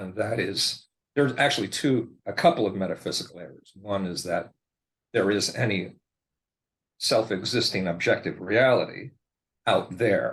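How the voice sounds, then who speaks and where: A man with a fairly low, somewhat breathy voice and ordinary pitch variation talks at a moderate pace, with big swings in loudness and long, frequent pauses. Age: 60s. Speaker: podcast guest with bipolar experience. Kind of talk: interview. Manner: hesitant, many fillers and restarts.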